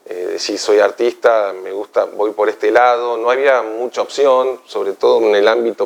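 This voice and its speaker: There is noticeable background noise as a man talks at a fairly slow pace in a Rioplatense accent. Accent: Argentine Spanish (rioplatense). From Argentina, Buenos Aires (San Isidro). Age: 60s. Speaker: visual artist. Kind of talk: interview. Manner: hesitant, many fillers.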